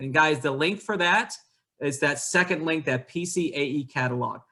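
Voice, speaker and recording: His pitch fairly high, a man talks with ordinary pitch variation. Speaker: college admissions representative. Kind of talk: online presentation. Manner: fast.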